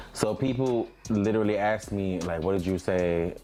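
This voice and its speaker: With noticeable background noise behind him, a man speaks with an American accent and ordinary pitch variation. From Jamaica. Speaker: queer music artist. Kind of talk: casual podcast interview.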